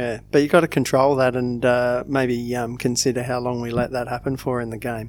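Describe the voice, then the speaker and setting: There is noticeable background noise behind a man with a medium-pitched voice and an Australian accent. He talks in a monotone, flat intonation with hardly any pauses. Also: fairly quick pace. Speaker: football fan podcast co-host. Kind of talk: casual chat.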